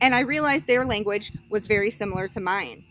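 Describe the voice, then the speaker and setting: Speaking at a moderate pace, a woman with a fairly high voice and vocal fry shows ordinary pitch variation. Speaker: college student. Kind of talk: class presentation speech. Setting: outdoors with small audience. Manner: loud.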